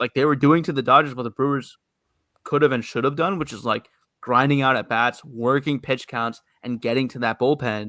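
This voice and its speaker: With a New York accent, a man speaks at a moderate pace and medium pitch with ordinary pitch variation and a bright, sharp tone. The recording is very clean, dry and close, with a silent background and no echo. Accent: New York American. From New York City. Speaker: baseball podcast co-host. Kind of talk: casual chat.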